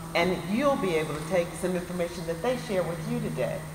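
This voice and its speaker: A woman speaks with ordinary pitch variation, with noticeable background noise and audible room echo around her. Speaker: local council member addressing a community meeting. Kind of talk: public address to a meeting. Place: hall. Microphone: camera far.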